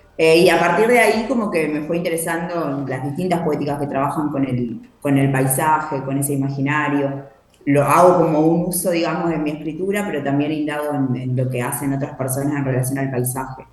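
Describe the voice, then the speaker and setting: A woman's very deep, low voice with ordinary pitch variation, heard with audible room echo and noticeable background noise. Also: fairly quick pace. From Argentina, Buenos Aires coast (Santa Teresita). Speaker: poet and writing workshop leader. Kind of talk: interview.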